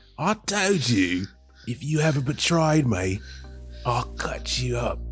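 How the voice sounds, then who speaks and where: A man speaks in a put-on character voice, raspy and menacing, at medium pitch. His pace is fairly slow, with clear music playing in the background. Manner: menacing, threatening.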